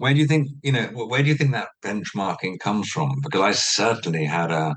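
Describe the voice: A man talks at a fairly quick pace with ordinary pitch variation. His pitch is fairly low and his tone fairly bright.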